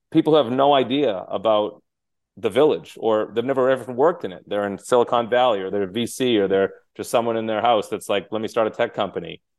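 A man with an American accent talks at a fairly quick pace and medium pitch, with ordinary pitch variation. It is an unremarkable speaking voice. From Massachusetts, Cape Cod. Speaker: nurse executive. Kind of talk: interview conversation.

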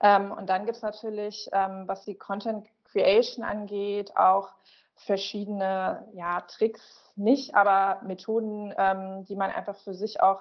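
At a fairly slow pace, a woman with an unremarkable speaking voice speaks at medium pitch with fairly even intonation. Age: 30s. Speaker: social media manager. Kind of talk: interview.

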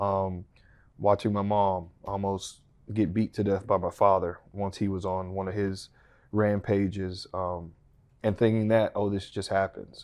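In an American accent, a man speaks at a fairly low pitch with monotone, flat intonation. His tone is dark and mellow against a quiet background. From Texas (Pampa, Panhandle). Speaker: fitness entrepreneur and influencer. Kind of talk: interview testimony. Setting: studio.

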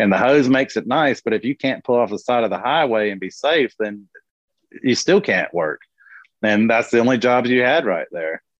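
With an American accent, a man uses a plain, everyday voice at a medium pitch, speaking at a moderate pace with lively intonation. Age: 40s. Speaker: small business owner, mulch company. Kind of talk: casual interview.

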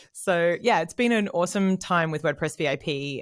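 A woman's fairly low voice in an Australian accent, lively in intonation at a moderate pace, on a very clean recording with a silent background. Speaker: content marketing head. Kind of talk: casual interview.

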